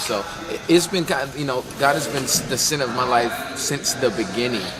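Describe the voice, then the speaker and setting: Amid noticeable background noise and audible room echo, a man with an American accent speaks at medium pitch. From US South. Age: 20s. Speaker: gospel musician. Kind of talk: interview.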